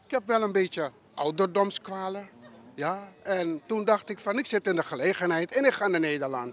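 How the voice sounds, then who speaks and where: A man at a moderate pace with a high pitch. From Suriname. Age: 70s. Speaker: retiree interviewed at a market. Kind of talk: street interview. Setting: outdoors at a market.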